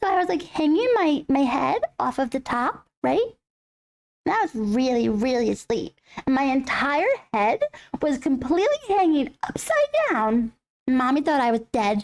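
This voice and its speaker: A put-on character voice at a moderate pace. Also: female-sounding voice, high pitch for a woman. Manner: cute, storytelling.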